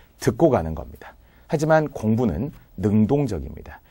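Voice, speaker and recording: Very cleanly recorded against a silent background, a man with a fairly low pitch and a dark, mellow tone shows vocal fry and very wide pitch swings. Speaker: civil service exam Korean lecturer. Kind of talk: lecture. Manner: clear articulation.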